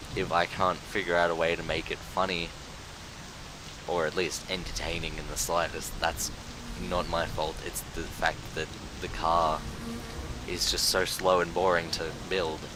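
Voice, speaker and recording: A man with an Australian accent talks at a fairly slow pace in a very deep, low pitch, leaving long, frequent pauses. Audible room echo and noticeable background noise surround him. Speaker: gaming youtuber. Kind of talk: gameplay tutorial commentary. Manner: casual, rambling with self-interruptions.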